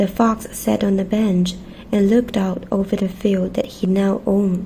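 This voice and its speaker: Soft-spoken and gentle in tone, a woman talks at a medium pitch. Her intonation stays monotone and flat. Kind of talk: children's storybook reading. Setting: cozy bedtime ASMR setup with snacks. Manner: soft-spoken, gentle.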